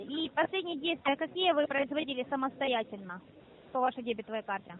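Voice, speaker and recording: A woman speaks at a fairly quick pace in a high pitch, her intonation lively, with light background noise and a dry sound that has no echo. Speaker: phone scammer posing as bank specialist. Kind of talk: scam phone call. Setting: phone call. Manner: formal. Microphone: phone line.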